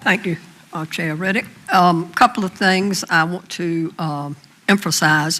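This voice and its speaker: With a Southern US accent, a woman speaks at a fairly slow pace in a bright, sharp tone. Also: fairly low pitch for a woman, fairly even intonation. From US South. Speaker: school board member. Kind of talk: public meeting remarks.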